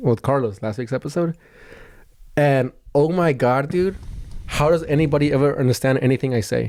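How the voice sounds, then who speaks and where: A man mumbles at a fairly high pitch, with ordinary pitch variation and long, frequent pauses. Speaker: podcast host and comedian. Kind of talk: casual chat. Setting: childhood bedroom. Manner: fast; mumbling.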